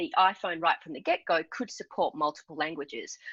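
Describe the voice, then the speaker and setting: Her pitch fairly low, a woman speaks in an Australian accent. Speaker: entrepreneur. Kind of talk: interview.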